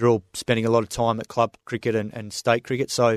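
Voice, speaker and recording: With an Australian accent, a man speaks very fast at a medium pitch, the sound dry and close with no echo. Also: quiet background. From Western Australia, Swan Valley near Perth. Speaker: former test cricketer and cricket commentator. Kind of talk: casual interview chat. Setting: radio studio.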